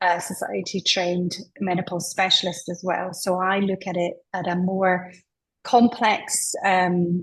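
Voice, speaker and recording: A woman speaks in a Scottish accent, somewhat breathy. Her intonation is flat and monotone. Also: medium pitch for a woman, fairly slow pace. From Scotland. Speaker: menopause specialist. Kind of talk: interview.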